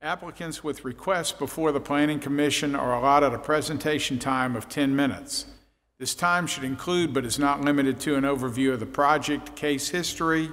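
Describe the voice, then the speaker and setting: The pace is fairly quick as a man talks. Fairly even intonation runs through his speech. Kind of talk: procedural reading at public meeting. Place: hall. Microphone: podium.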